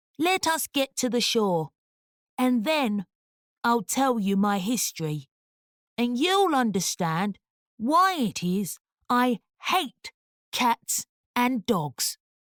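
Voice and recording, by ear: A female-sounding, put-on character voice moves at a very slow pace with a fairly high pitch. It sounds shaky, and its pitch swings very widely.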